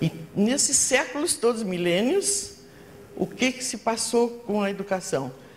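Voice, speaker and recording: Against noticeable background noise, a woman's voice moves in very wide pitch swings. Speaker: educator and researcher. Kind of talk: conference talk. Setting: stage with audience. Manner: halting.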